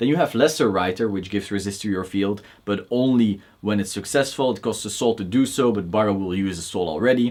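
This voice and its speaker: Speaking with a Belgian accent, a man uses a fairly low pitch, ordinary pitch variation and a fairly quick pace. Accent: noticeable Belgian. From Belgium. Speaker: card game YouTuber. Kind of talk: Q&A video monologue. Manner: casual, opinionated.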